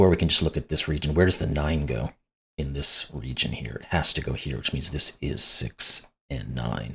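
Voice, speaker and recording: On a very clean recording with a silent background, a man speaks with a very deep, low pitch, vocal fry, ordinary pitch variation and a bright, sharp tone. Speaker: sudoku puzzle YouTuber. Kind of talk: puzzle-solving tutorial commentary. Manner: conversational, thinking aloud.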